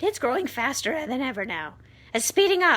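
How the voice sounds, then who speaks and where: In a put-on character voice, a woman speaks high at a moderate pace with very wide pitch swings. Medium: read story. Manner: sharp, bossy.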